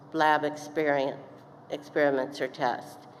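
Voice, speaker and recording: A woman with an American accent, a very deep, low pitch and a flat, monotone delivery, in audible room echo. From East Texas. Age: 70s. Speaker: commencement speaker. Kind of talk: commencement speech. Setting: stage with audience. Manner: halting.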